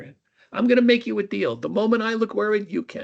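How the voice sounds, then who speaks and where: A put-on character voice, fairly high in pitch, rattles along at a fairly quick pace in a Brooklyn accent. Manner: calm, unfazed.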